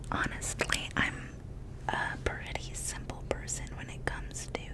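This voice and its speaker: A woman whispering in a gentle tone at a fairly slow pace. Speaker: ASMR content creator. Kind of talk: ASMR whispered ramble to camera. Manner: gentle, whispered.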